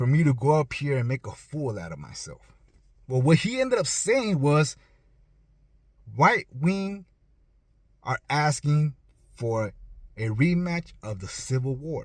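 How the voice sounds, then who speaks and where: Pausing long and often, a man with a fairly high, somewhat breathy voice speaks at a fairly slow pace, with big swings in loudness. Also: lively intonation. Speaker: political commentator. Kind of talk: opinion monologue. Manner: animated.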